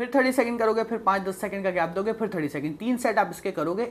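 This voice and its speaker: The speaker is a man with a high pitch. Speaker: presenter. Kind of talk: tutorial. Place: home room.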